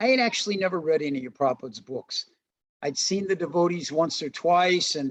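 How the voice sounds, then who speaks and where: A man with a high-pitched voice and an American accent. He talks at a fairly quick pace with lively intonation. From US Midwest, St. Louis, Missouri. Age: 60s. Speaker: Hare Krishna devotee and religious teacher. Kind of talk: interview, personal testimony. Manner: relaxed, with frequent fillers.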